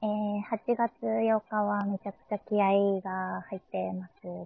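A woman's voice at a medium pitch. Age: 20s. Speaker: idol singer. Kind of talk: casual monologue. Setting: at home. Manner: halting.

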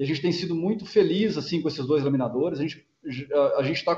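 With an ordinary speaking voice, a man talks at a moderate pace, his fairly high pitch showing ordinary pitch variation. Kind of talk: earnings call presentation and Q&A. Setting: video conference.

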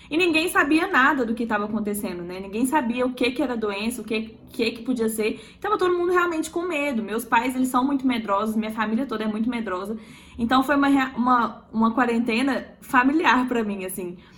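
A woman talks at a fairly quick pace in a high pitch with lively intonation. Noticeable background noise runs under her voice. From Minas Gerais, Belo Horizonte. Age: 20s. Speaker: emergency medicine resident. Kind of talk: casual chat.

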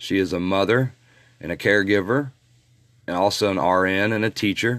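A man speaks in a Midwestern American accent. His pitch is fairly low. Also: very clean recording, silent background. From Indiana. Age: 50s. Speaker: paranormal investigator and podcast host. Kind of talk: podcast monologue. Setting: recorded on location.

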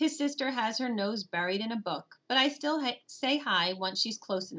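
The clip is delivered in a natural reading voice.

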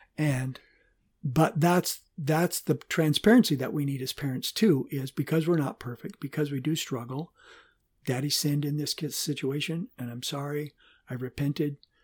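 At a moderate pace, a man speaks somewhat breathily with a fairly high pitch and ordinary pitch variation. The sound is dry and close with no echo, in a very clean recording with a silent background. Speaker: pastor and father of the co-host. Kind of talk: casual interview.

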